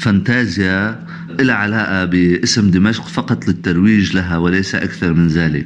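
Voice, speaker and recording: The speaker has a Damascus accent. The pace is fairly slow. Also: man. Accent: Syrian Arabic (Damascus). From Syria. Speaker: art critic. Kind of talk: remote interview.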